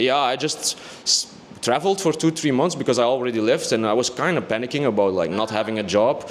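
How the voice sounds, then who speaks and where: The man's speech races at a very fast pace. Lively intonation runs through it. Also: medium pitch for a man. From Belgium, Antwerp. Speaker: music producer and DJ. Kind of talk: casual interview.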